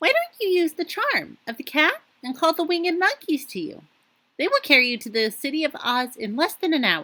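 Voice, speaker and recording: A woman puts on a squeaky character voice. It sits high in pitch and moves at a moderate pace. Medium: read story.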